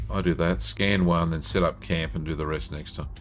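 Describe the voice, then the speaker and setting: Speaking at a moderate pace, a man talks in a very deep, low voice. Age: 60s. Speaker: gaming streamer. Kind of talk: live gameplay stream with chat reading. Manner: casual, conversational.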